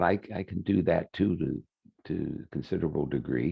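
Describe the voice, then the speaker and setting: Very deep and low, a man's voice shows vocal fry and lively intonation at a moderate pace. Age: 70s. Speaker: healer giving a webinar. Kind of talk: webinar talk. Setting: online webinar. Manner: halting, many fillers.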